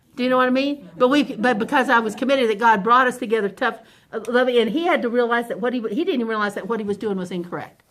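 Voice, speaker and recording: A woman speaks in a high pitch. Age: 70s. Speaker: Sunday school teacher. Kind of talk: Sunday school teaching. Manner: conversational.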